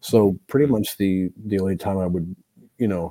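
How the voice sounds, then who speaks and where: Very deep and low, a man's voice comes with an American accent in a dry, close sound with no echo. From France, then Chicago and Montreal. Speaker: death metal drummer. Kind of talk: casual chat interview. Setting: live streamed podcast.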